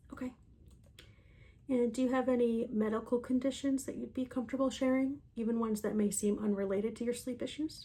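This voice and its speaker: Soft-spoken and high-pitched, a woman talks in a gentle, calm tone that is dark and mellow. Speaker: ASMR creator. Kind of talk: soft-spoken ASMR roleplay, sleep consultation. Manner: soft-spoken, gentle, calm.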